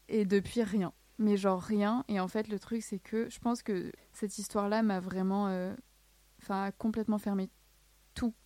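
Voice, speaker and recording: With a dark, mellow tone, a woman speaks in a monotone, flat intonation at medium pitch and a moderate pace. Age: 20s. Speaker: student and alopecia advocate. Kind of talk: testimony. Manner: casual.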